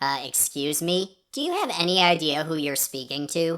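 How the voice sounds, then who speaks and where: At a moderate pace and a middle pitch, the speaker performs a put-on character voice. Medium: virtual streamer. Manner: smug, sarcastic.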